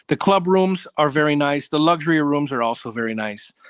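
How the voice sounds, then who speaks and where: Enthusiastic in tone, a fairly high-pitched man comes through a dry, close sound with no echo on a very clean recording with a silent background. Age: 40s. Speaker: travel enthusiast, resort loyalty member. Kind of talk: interview.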